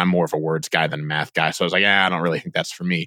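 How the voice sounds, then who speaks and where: Talking at a very fast pace, a man with an American accent uses ordinary pitch variation and a bright, sharp tone. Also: dry, close sound with no echo. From US Midwest, northeast Indiana. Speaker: author and content editor. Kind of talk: interview conversation. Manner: halting, with many fillers and repeated words.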